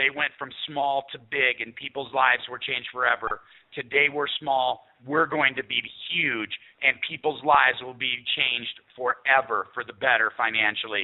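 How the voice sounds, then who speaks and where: A plain, everyday voice from a man at a medium pitch, with fairly even intonation and a moderate pace. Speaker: network marketing sales executive. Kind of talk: sales pitch. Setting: phone call.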